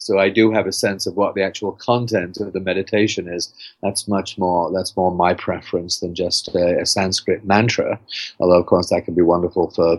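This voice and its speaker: Very deep and low, a man's voice moves at a moderate pace with monotone, flat intonation. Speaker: author. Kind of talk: interview. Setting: podcast interview.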